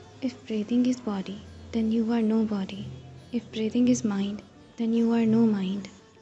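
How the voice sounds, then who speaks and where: Music plays in the background as a woman speaks at a moderate pace. Her fairly high voice is monotone and flat. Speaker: narrator. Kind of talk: guided meditation narration.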